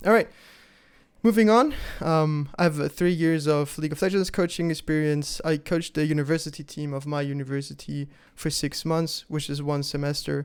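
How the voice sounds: In a very clean recording with a silent background, a man at a fairly high pitch speaks at a moderate pace with a clear, smooth tone and fairly even intonation.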